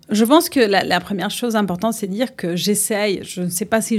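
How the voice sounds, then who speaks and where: On a very clean recording with a silent background, a woman with a Uruguayan accent speaks at a fairly slow pace. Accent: Uruguayan Spanish accent in French, sing-song. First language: Spanish (speaking French). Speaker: fitness club general manager. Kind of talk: interview. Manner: hesitant.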